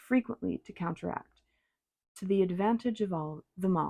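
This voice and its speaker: Soft-spoken and calm, a woman talks at a moderate pace in a dark, mellow tone with ordinary pitch variation. The recording is very clean and dry, close with no echo, over a silent background. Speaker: tarot reader and ASMR reader. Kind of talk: soft-spoken audiobook-style reading of a classic novel. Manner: soft-spoken, calm, relaxing.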